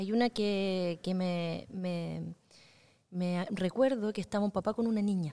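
Her tone dark and mellow, a woman speaks at a fairly slow pace and a medium pitch with fairly even intonation. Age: 40s. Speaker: podcast host. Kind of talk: casual interview. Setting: cultural centre in Concepción.

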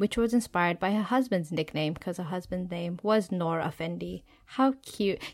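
This is an unremarkable speaking voice moving at a fairly quick pace with ordinary pitch variation. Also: woman. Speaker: podcast host. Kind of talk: casual chat.

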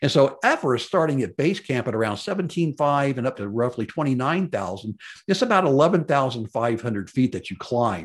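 Over a quiet background, a man with an American accent and a medium pitch talks at a fairly quick pace with hardly any pauses and very wide pitch swings. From Memphis, Tennessee. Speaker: podcast host and mountaineering enthusiast. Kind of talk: solo podcast monologue. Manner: casual, rambling, self-deprecating, many fillers.

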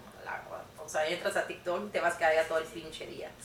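Noticeable background noise and audible room echo surround the recording. A woman talks at a fairly quick pace. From Mexico, Mérida, Yucatán. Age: 20s. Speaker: podcast guest. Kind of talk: casual chat.

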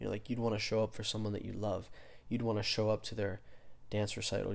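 Soft-spoken, the man talks in a fairly low voice. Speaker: podcast host. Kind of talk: solo monologue on spirituality. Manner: halting, many fillers.

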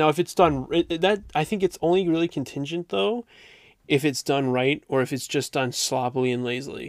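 A man with an unremarkable speaking voice talks at a fairly high pitch with ordinary pitch variation. The very clean recording is dry and close, with no echo and a silent background. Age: 20s. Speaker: podcast co-host. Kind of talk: casual chat.

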